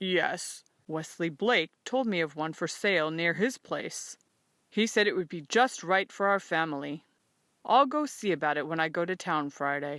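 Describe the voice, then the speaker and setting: A calm, put-on character voice at a middle pitch and moderate pace, on a very clean recording with a silent background. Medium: read story. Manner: calm, plain-spoken.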